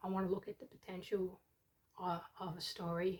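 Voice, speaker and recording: A woman with a somewhat breathy voice speaks at a medium pitch and a moderate pace. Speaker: book competition judge and writer. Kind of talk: casual talk to camera. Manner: rambling, hesitant.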